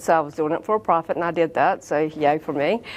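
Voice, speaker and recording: A woman speaks in a Southern US accent. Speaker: real estate sales vice president. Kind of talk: interview answer.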